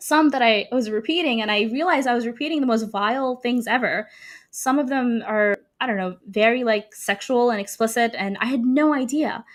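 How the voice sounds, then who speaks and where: A woman's high-pitched voice with an Arabic accent, fairly quick pace and ordinary pitch variation, in a very clean recording over a silent background. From Sudan and Saudi Arabia. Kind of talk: testimony interview.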